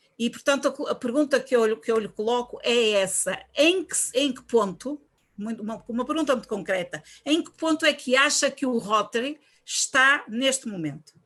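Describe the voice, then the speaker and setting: Her high-pitched voice swings widely in loudness as this woman speaks at a moderate pace with lively intonation. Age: 60s. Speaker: Rotary club member asking question. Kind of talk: audience question. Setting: video call.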